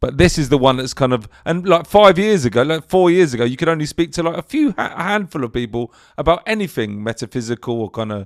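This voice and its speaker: A man with a London accent, fairly high in pitch, very fast with hardly any pauses and very wide pitch swings, in a dry, close sound with no echo and a very clean recording over a silent background. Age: 50s. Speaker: podcast interviewer. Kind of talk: casual chat.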